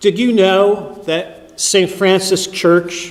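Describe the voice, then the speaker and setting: There is noticeable background noise as a man talks at high pitch. He speaks at a very slow pace. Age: 50s. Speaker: priest. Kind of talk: sermon.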